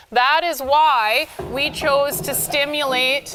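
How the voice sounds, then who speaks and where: A woman's voice is loud. Her pitch is high. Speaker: equine therapy instructor. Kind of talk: lecture. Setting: livestreamed hands-on class.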